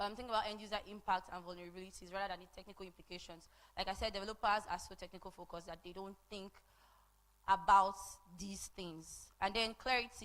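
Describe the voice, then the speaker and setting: Talking very fast in a medium pitch, a woman keeps a monotone, flat intonation while her loudness swings widely. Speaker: conference speaker on open source design. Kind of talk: conference talk. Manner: conversational.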